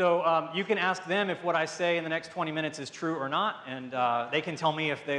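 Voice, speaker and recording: A man with a Southern US accent speaks at a fairly high pitch with ordinary pitch variation. Audible room echo surrounds his voice. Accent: Southern American English. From US South. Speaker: pharmaceutical marketing director. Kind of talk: conference talk. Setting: stage with audience. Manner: fast; loud.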